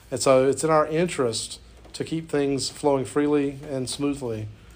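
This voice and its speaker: Room echo can be heard. The speaker's intonation is fairly even. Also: man. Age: 40s. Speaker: college instructor. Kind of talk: lecture.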